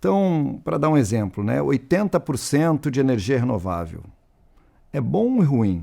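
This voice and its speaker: A man with a dark, mellow tone and a medium pitch talks at a fairly slow pace. His pitch swings very widely, and the recording is very clean with a silent background. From Rio Grande do Sul, southern Brazil. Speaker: panel moderator, industry association representative. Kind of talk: panel discussion moderation.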